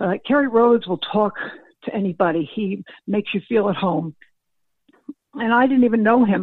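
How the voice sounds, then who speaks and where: A woman talks at a fairly quick pace with a fairly high pitch and ordinary pitch variation. She leaves long, frequent pauses. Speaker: former football scout. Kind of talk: interview.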